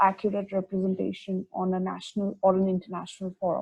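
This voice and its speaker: A woman's somewhat breathy, medium-pitched voice moves at a fairly quick pace. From India, New Delhi. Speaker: podcast host. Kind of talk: casual podcast chat.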